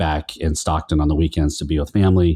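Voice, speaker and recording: A man's dark, mellow, monotone voice with a Californian accent, flat in intonation, over a quiet background. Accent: general American, Californian. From California Central Valley. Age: 50s. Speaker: pastor and podcaster, guest. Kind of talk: casual interview chat.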